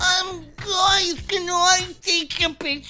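A female-sounding put-on character voice sits at extremely high pitch. Its intonation is monotone and flat.

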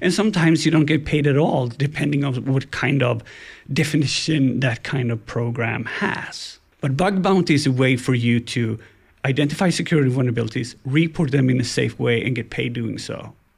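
A man with a Swedish accent talks at a fairly quick pace in a medium, somewhat breathy voice with ordinary pitch variation. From Sweden, Gothenburg. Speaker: ethical hacker. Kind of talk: casual interview.

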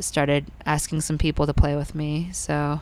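With flat, monotone intonation, this woman's voice sits very deep and low. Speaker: musician. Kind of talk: casual interview chat.

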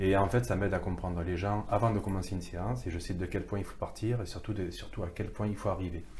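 Speaking at a very fast pace, a man with a very deep, low voice is heard with audible room echo. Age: 50s. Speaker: photographer and photo art therapist. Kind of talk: interview conversation. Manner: halting, many hesitations and repetitions.

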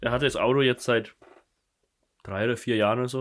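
A man at medium pitch, talking at a fairly quick pace with monotone, flat intonation, on a very clean recording with a silent background. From Germany, Kulmbach (Upper Franconia). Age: 20s. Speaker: podcast co-host. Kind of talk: casual chat.

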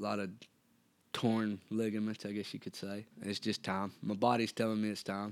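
A man with a Tennessee accent, moderate in pace, with monotone, flat intonation. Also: fairly low pitch for a man. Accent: US Southern (Tennessee). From Tennessee (Erin). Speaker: cowboy and bull rider. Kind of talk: casual interview.

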